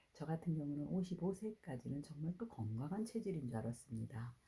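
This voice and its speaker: Using very wide pitch swings and vocal fry, a woman speaks at a moderate pace in a dark, mellow tone. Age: 60s. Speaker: network marketing distributor. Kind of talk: testimony.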